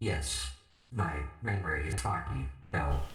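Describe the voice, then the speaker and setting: This man uses a put-on character voice that is raspy and very deep, with a low pitch. He delivers it at a fairly slow pace. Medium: machinima. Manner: polite, plain, slightly stilted.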